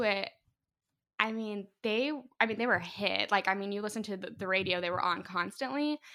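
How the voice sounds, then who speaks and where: A woman with a Midwestern American accent speaks fairly quickly at a medium pitch, her tone bright and sharp. The recording is very clean with a silent background. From northeast Indiana, US Midwest. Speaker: podcast guest. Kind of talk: casual chat.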